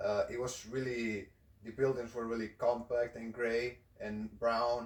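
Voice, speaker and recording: In a Spanish accent, a man speaks at a fairly slow pace and medium pitch, with monotone, flat intonation. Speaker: video host. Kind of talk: casual chat.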